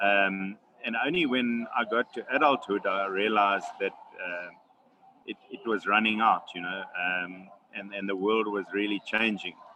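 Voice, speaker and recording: Over noticeable background noise, a man speaks slowly, his fairly low voice keeping fairly even intonation. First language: Xhosa. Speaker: wildlife conservationist. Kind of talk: webinar Q&A answer. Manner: halting, many fillers and repetitions.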